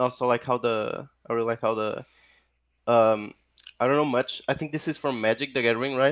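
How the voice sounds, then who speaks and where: Speaking at a fairly quick pace with a non-native accent, a man keeps a medium pitch and fairly even intonation on a very clean recording with a silent background. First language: not English. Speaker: guest artist. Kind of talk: casual chat. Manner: halting, many fillers.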